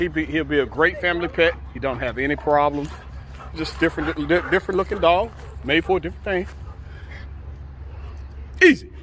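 A man speaks at a moderate pace in a bright, sharp tone. Faint background noise sits behind him.

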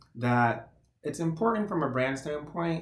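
Audible room echo surrounds the voice of a man as he talks. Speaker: podcast guest. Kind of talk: interview answer. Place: home room. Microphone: webcam.

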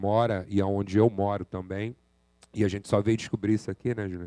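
Against a quiet background, a man's dark, mellow tone at fairly low pitch is captured in a dry sound with no echo. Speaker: community workshop organizer; presenter. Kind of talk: presentation. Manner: restless. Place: hall.

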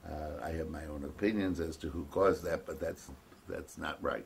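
A man talks in a very deep, low voice that is somewhat breathy, with fairly even intonation. Light background noise is present. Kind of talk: interview answer. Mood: reflective, with light laughs. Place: home room.

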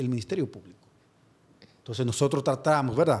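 A man is speaking. His voice is somewhat breathy. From Dominican Republic, San Francisco de Macorís; Dominican Republic. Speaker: prosecutor; guest. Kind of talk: interview. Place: studio. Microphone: studio mic.

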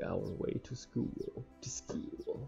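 A man talks quietly at a fairly slow pace. Faint music plays in the background. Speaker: gamer streamer. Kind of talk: visual novel read-along let's play. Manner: casual. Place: home room.

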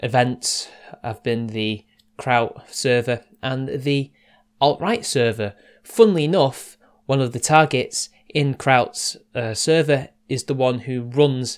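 Ordinary in pitch variation, a man talks at a very slow pace. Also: quiet background. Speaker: online commentator. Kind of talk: casual commentary monologue. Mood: serious, measured. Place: home room.

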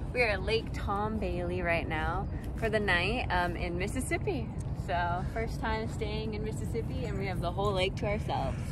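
Loud background noise sits behind a woman whose voice is dry, with no echo. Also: moderate pace. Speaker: vlogger. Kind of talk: casual vlog chat. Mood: cheerful, excited. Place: open country. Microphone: phone near.

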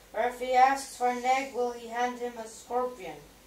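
A woman talks at a high pitch and a moderate pace, and room echo can be heard around her. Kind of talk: scripture reading. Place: home room. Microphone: camera far.

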